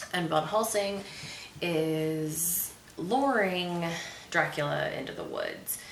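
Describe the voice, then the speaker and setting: The voice has lively intonation. Audible room echo surrounds it. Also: woman. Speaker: movie review host. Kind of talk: movie review monologue. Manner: casual with many fillers.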